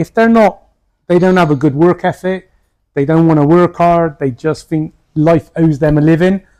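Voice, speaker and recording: A man with a high pitch speaks in a British accent. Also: fairly even intonation, moderate pace. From United Kingdom. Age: 60s. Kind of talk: interview answer.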